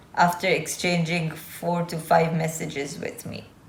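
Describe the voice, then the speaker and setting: A woman speaks at a fairly slow pace. The recording carries audible room echo and noticeable background noise. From Azerbaijan. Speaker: YouTuber. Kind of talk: vlog monologue. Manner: casual.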